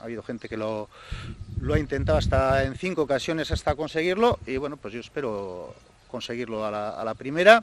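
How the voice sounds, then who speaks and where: A man's voice with very wide pitch swings, dry with no echo. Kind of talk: interview answer. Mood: enthusiastic, determined. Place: street. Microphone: handheld.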